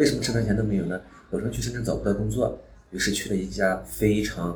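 A man speaks at a fairly low pitch, with noticeable background noise and audible room echo. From Xinjiang, northwest China. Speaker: former police detective and business executive. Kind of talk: personal life story monologue.

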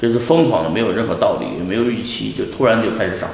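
Amid noticeable background noise and audible room echo, a man speaks very fast at a medium pitch with lively intonation. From China, Shanxi (Pingyao). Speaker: bitcoin investor. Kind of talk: interview.

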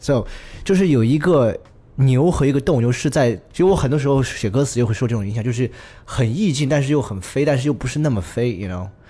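This man's voice has a dark, mellow tone, a medium pitch and a somewhat breathy quality. He talks at a very fast pace with lively intonation. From Chengdu, Sichuan. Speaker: musician. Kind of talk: casual chat.

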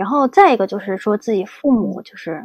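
A woman's ordinary speaking voice, fairly high in pitch, at a fairly quick pace. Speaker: graphic design PhD student. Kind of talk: casual interview chat.

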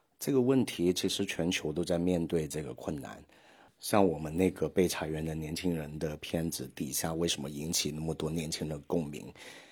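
A man with a Hong Kong accent, very deep and low in pitch with ordinary pitch variation, in a very clean recording with a silent background. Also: moderate pace. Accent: Hong Kong-accented Mandarin. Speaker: podcast host. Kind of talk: solo podcast monologue. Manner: hesitant, many filler sounds.

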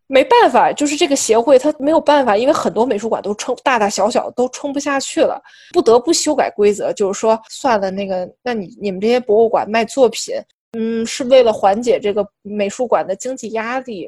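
A woman's high-pitched, lively voice at a fairly quick pace with hardly any pauses and big swings in loudness, in a very clean recording with a silent background. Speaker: art podcast co-host. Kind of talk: casual chat.

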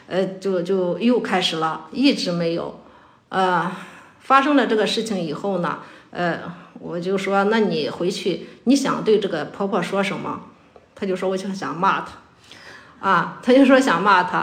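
Amid noticeable background noise, a woman of medium pitch speaks at a fairly slow pace with ordinary pitch variation. Her pauses are long and frequent. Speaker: school teacher. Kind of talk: casual chat.

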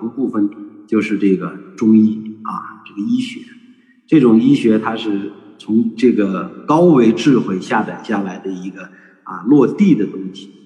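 A man's fairly low voice, a normal speaking voice, at a fairly slow pace with ordinary pitch variation and big swings in loudness. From northern China, Shanxi (Datong). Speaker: traditional culture educator. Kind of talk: online panel talk. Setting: video call.

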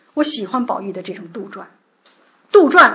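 Audible room echo carries a woman's high-pitched voice. Her pitch swings very widely. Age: 50s. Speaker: literature lecturer. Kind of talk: lecture.

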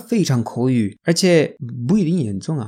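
A dark, mellow voice with a Spanish accent and lively intonation at a fairly slow pace, in a very clean recording with a silent background. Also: woman. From Spain. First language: Spanish (speaking Chinese). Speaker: language teacher. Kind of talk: tutorial.

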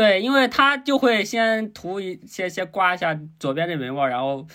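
The recording is very clean, with a silent background. A man talks in a normal speaking voice. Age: 20s. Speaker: guest sharing a man's view on dating. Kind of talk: casual chat.

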